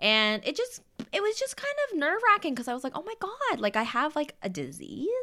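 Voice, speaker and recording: A woman speaks in a high, bright, sharp voice, raised and projected. Her animated delivery runs at a fairly quick pace with very wide pitch swings and hardly any pauses. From Windsor, Ontario, Canada. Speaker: actor and content creator. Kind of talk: casual chat.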